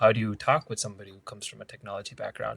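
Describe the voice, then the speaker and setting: A very fast pace in a dry, close sound with no echo, on a very clean recording with a silent background. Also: man. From India. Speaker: product manager. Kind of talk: interview. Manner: frequent repetitions and self-corrections.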